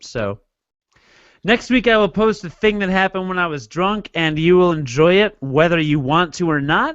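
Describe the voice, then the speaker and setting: The man's pitch sits fairly high, and he keeps to a moderate pace. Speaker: podcast host. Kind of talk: casual chat. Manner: slurred words when tired.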